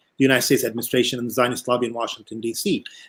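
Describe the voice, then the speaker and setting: His voice is pitched in the middle range. The speaker is a man. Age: 60s. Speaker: political science professor. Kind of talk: panel discussion.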